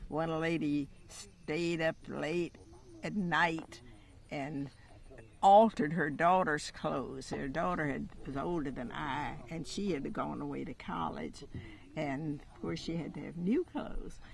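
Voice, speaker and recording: A woman speaks at a fairly slow pace in a very deep, low voice with vocal fry. Her loudness swings widely. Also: ordinary pitch variation. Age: 90s. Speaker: pioneer aviator. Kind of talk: interview. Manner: halting.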